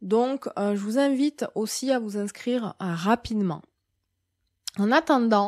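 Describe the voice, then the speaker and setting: Very slowly, with long, frequent pauses, a woman speaks at a fairly high pitch with ordinary pitch variation. The recording is very clean with a silent background, and the sound is dry and close with no echo. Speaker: medium and spiritual guide. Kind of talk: monthly spiritual guidance talk. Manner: hesitant, many fillers.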